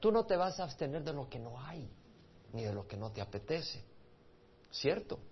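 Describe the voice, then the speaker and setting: In a room with audible echo, a man with a fairly high, somewhat breathy voice makes very wide pitch swings and big swings in loudness, pausing long and often. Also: moderate pace. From El Salvador. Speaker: pastor. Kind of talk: sermon.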